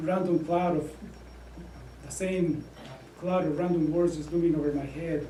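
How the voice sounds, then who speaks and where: Monotone, flat man's voice with a Spanish accent, fairly high in pitch, amid audible room echo and noticeable background noise. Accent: Spanish accent, thicker when nervous. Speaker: Air Force officer and student. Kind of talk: prepared speech. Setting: club meeting with audience. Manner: halting, many fillers.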